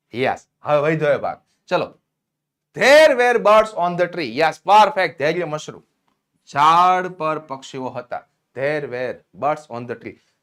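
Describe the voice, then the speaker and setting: In a very clean recording with a silent background, a man with a fairly high pitch sounds animated, with lively intonation and big swings in loudness. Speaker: English teacher. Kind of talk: lecture. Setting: live stream.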